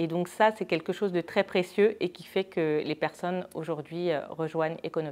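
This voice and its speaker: Her pitch fairly low and her intonation fairly even, a woman talks at a moderate pace. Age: 40s. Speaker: deputy manager at an agency. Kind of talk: company testimonial interview. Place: office. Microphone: lapel.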